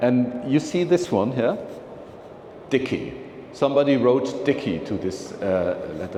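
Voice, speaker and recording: A man speaks at a fairly slow pace with very wide pitch swings and long, frequent pauses. The room echo is audible and the background noise is noticeable. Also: medium pitch for a man. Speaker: philatelic speaker. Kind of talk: lecture. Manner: halting.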